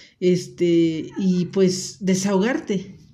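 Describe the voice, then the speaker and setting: A woman's dark, mellow tone with audible room echo. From Mexico, Acapulco (Guerrero). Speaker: podcast host, stay-at-home mother. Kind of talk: personal monologue podcast. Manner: hesitant, with filler words.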